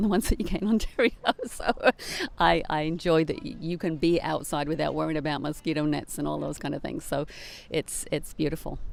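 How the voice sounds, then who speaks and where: A fairly quick pace with an English accent. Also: woman. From England. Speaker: life transitions coach. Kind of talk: casual interview.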